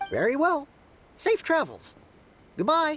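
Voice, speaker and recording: A put-on character voice, high and squeaky, moves at a fairly slow pace. Music plays in the background. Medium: video game.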